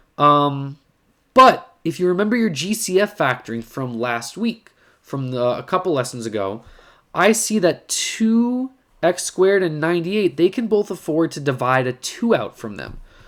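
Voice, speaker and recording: Against a quiet background, a man speaks at a moderate pace in a high pitch with very wide pitch swings. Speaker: math teacher. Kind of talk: tutorial. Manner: casual. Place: home room. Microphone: webcam.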